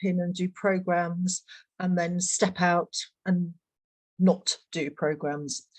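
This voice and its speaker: Over a quiet background, a woman with a British accent speaks at a very slow pace. Her voice is somewhat breathy and medium in pitch. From Britain. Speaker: equine assisted learning practitioner. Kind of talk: panel discussion.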